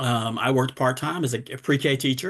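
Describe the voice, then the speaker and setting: At a fairly quick pace, a man with a Southern US accent speaks in a medium pitch with fairly even intonation. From US South, Durham, North Carolina. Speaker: cancer survivor and advocate. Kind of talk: talk on a video call.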